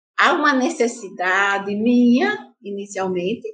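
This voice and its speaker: A woman speaks very slowly with a Paraíba accent. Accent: northeastern Brazilian (Paraíba). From Paraíba, Brazil (Santa Rita). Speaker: activist and teacher. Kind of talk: interview.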